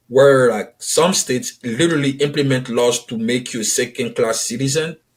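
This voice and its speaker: With an Ivorian accent, a man speaks at a medium pitch with ordinary pitch variation. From Ivory Coast. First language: French. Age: 30s. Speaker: author and publisher. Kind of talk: podcast interview.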